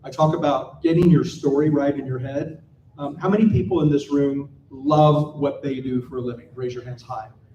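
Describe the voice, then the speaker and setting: With an American accent, a man has an unremarkable speaking voice, a fairly high pitch, fairly even intonation and a moderate pace. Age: 60s. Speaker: panel speaker, designer and entrepreneur. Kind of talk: conference panel talk. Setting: stage with live audience.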